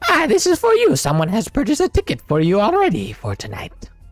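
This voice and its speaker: Using a put-on character voice, a man talks at a very fast pace. His pitch is high, and faint music plays in the background. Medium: actual play. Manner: chatty, showman-like, a bit hurried.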